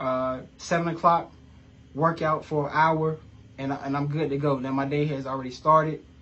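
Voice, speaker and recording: A man with an American accent, a fairly high pitch and a fairly quick pace. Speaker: life coach. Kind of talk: motivational vlog. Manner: fast; animated.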